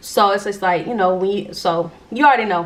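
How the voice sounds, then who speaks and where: A woman talks at a very fast pace with a medium pitch and fairly even intonation. Noticeable background noise runs under her voice. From Jacksonville, Florida. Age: 20s. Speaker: YouTuber. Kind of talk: casual storytime talk to camera. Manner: casual, chatty.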